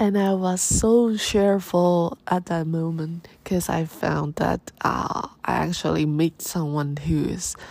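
A woman with a Chinese accent at a very slow pace, fairly low in pitch, with lively intonation. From Taiwan. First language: Mandarin Chinese. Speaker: podcast host. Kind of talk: casual monologue. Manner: halting.

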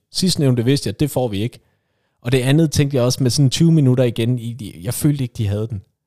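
With a dark, mellow tone, a man speaks very fast at a medium pitch and with ordinary pitch variation. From West Jutland, Denmark. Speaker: football podcast co-host. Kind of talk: casual chat.

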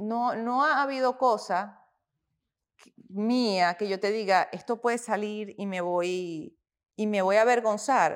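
The recording is very clean, with a silent background. A woman at medium pitch speaks very slowly with ordinary pitch variation. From Venezuela. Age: 40s. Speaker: fitness influencer. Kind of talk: casual interview.

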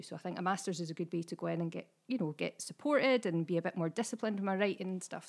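A woman's fairly low voice with vocal fry, at a very fast pace with ordinary pitch variation. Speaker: writer and teacher. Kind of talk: casual chat.

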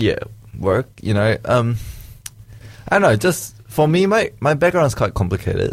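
A man's medium-pitched, somewhat breathy voice at a moderate pace, with very wide pitch swings and long, frequent pauses. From Malaysia. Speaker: podcast producer behind the scenes, guest. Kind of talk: casual chat.

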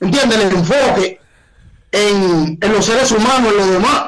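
Ordinary pitch movement from a man, at a moderate speed. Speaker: urban music artist and dancer. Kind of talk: casual interview. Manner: animated, joking.

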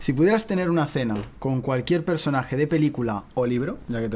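Noticeable background noise sits behind a man speaking at a fairly quick pace. He has a medium pitch and lively intonation. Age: 20s. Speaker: podcast host. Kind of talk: interview.

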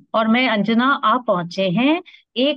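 A woman with an unremarkable speaking voice talks in a fairly high pitch with lively intonation. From India, Bhopal. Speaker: podcast co-host. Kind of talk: casual chat.

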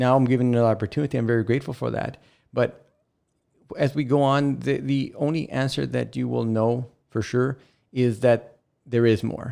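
A man's medium-pitched, dark, mellow voice at a moderate pace, with fairly even intonation. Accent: South Texas. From South Texas (Rio Grande Valley, Rio Grande City). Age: 50s. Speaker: housing authority director. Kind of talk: casual interview. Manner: halting, frequent repetitions.

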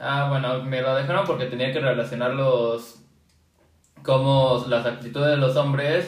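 In a room with audible echo, a man with a Mexican accent talks at a fairly slow pace. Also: medium pitch for a man, fairly even intonation. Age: young. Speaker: podcast co-host. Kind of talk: casual chat.

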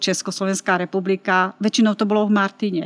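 A woman with a normal speaking voice talks at medium pitch with fairly even intonation, in a dry, close sound with no echo on a very clean recording with a silent background. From Slovakia, Martin. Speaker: photography teacher. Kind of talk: interview.

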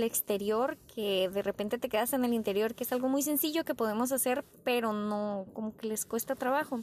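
A woman with a fairly high voice talks at a fairly quick pace with hardly any pauses, very even loudness, and ordinary pitch variation. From Tijuana, Baja California, Mexico. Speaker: podcaster. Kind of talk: personal reflection monologue.

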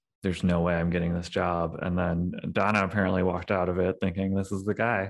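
A man's very deep, low monotone with a Midwestern American accent, at a moderate pace, in a very clean recording with a silent background. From St. Louis, Missouri suburbs. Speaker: climate equity director. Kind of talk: interview testimony.

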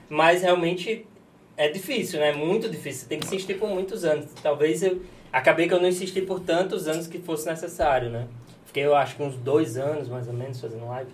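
Audible room echo hangs on a man's fairly quick speech. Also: fairly high pitch for a man, ordinary pitch variation. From Natal, Brazilian Northeast. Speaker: chiropractor and streamer. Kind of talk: casual chat.

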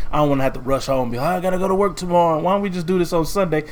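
A man speaks at a very fast pace, his fairly high pitch showing ordinary variation. Noticeable background noise runs underneath. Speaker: podcast co-host. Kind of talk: casual chat. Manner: low energy.

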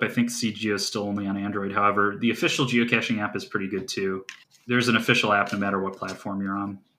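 A man with a Midwestern American accent speaks at a very fast pace with a fairly low pitch and a bright, sharp tone. His intonation stays fairly even, and the recording is very clean with a silent background. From US Midwest, northeast Ohio. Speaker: geocaching hobbyist. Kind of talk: casual chat.

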